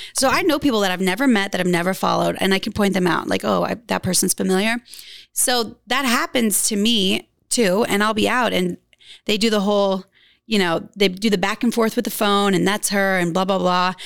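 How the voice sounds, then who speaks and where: A woman with an American accent talks at a fairly quick pace and medium pitch, with vocal fry and ordinary pitch variation. Her loudness stays very even on a very clean recording with a silent background. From US South, rural Louisiana. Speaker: model and influencer. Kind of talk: casual interview chat.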